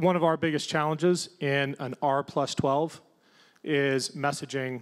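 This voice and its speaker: An ordinary speaking voice in an American accent, at a moderate pace with fairly even intonation, against a quiet background. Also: man. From Ohio. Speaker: congressional candidate, Navy veteran; panelist. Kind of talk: panel discussion. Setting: stage with audience. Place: stage. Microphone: handheld.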